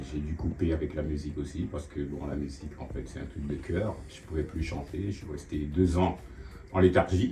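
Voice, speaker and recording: Noticeable background noise sits under speech that moves at a moderate pace, with ordinary pitch variation and big swings in loudness. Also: man, very deep, low pitch for a man. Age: 60s. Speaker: tenant interviewed about gambling addiction. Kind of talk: testimony. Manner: halting, many hesitations.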